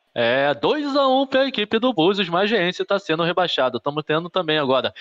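In a quiet background, a man's speech moves at a fairly quick pace. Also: hardly any pauses, very even loudness. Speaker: sports commentator. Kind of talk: live sports commentary. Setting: stadium, live broadcast. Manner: rapid-fire, repetitive play-by-play; animated, boastful, excited at goals. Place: home room. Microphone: phone near.

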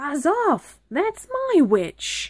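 This put-on character voice is high, shrill, croaky, and growling, with very wide pitch swings. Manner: fierce, shouting.

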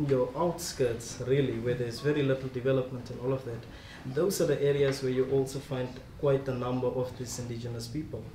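Male speech with light background noise and audible echo from the room. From South Africa. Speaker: speaker. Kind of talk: panel discussion. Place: meeting room. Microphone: camera far.

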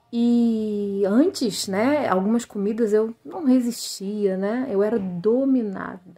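A woman's fairly high voice, dark and mellow in tone, at a very slow pace with hardly any pauses and ordinary pitch variation. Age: 30s. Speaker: weight-loss program student. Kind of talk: testimonial. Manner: hesitant, many fillers.

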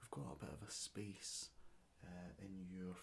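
Soft-spoken, a man talks at a moderate pace. His voice sits very deep and low. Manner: soft, hushed ASMR speech. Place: home room.

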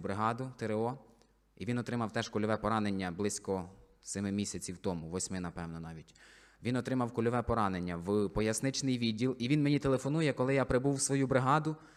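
This man has an unremarkable speaking voice. His fairly low pitch shows ordinary variation. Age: 20s. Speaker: soldier and church deacon. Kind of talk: testimony.

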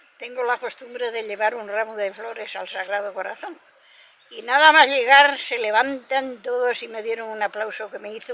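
A woman talks in a high pitch at a fairly slow pace. Noticeable background noise runs underneath. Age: 80s+. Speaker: shepherdess. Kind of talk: interview answer.

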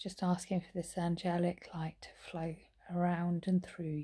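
A soft-spoken woman with a fairly low, somewhat breathy voice and a dark, mellow, soothing tone speaks over a quiet background. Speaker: meditation teacher and vlogger. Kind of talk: guided meditation. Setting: recorded at home in lockdown. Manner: soft, slow, soothing; warm, gentle. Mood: calm, soothing, gentle. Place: home room. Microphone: phone near.

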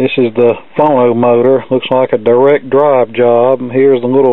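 A man talks at a moderate pace, and the sound is dry with no echo. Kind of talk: tutorial commentary. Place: workshop. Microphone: phone near.

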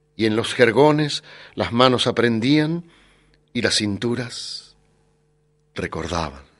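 Using lively intonation, a man with a medium pitch speaks at a very slow pace, leaving long, frequent pauses. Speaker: audiobook narrator. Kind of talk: literary audiobook reading, solemn epic fantasy narration with character dialogue. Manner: measured, grave storytelling pace; shifts to a stately, authoritative tone for the wizard's speeches.

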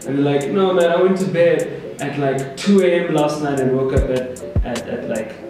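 Against clear music in the background and strong room echo, a man speaks at a moderate pace with ordinary pitch variation. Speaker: interview guest. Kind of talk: interview answer. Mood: relaxed, thoughtful. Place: office.

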